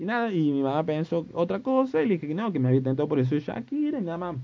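This man's fairly high voice moves at a fairly quick pace with very wide pitch swings. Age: 20s. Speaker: podcast host. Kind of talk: casual monologue.

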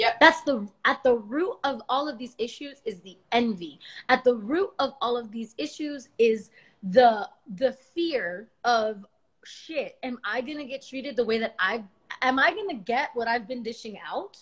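Using an American accent, a woman with a high pitch talks at a fairly slow pace, with lively intonation and big swings in loudness. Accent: Miami Cuban American English. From US, Miami (Cuban American). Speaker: livestream host. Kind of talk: casual conversation on a livestream.

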